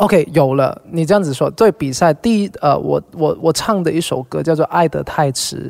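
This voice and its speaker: A man with a Cantonese accent speaks with hardly any pauses, at a fairly high pitch and with ordinary pitch variation. The sound is dry and close with no echo. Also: moderate pace. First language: Cantonese (speaking Chinese). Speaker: singer. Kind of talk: casual chat.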